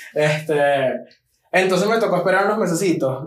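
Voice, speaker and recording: Pitched high for a male, the man's voice shows usual ups and downs in pitch. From Venezuela, Maracay (Aragua). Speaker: podcast co-host. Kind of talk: casual chat.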